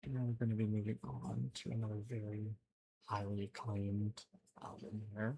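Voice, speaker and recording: At a moderate pace, the voice is soft-spoken. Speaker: ASMR creator. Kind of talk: ASMR show and tell.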